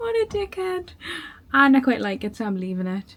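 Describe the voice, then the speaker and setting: A woman speaks at a moderate pace with a Geordie accent. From northern England, Newcastle. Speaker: travel vlogger. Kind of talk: casual chat.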